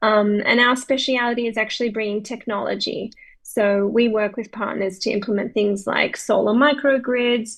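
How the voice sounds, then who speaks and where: A woman with an Australian accent speaks at a fairly high pitch in a monotone, flat way, with hardly any pauses. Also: moderate pace. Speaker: humanitarian aid worker. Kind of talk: self-introduction at club video meeting.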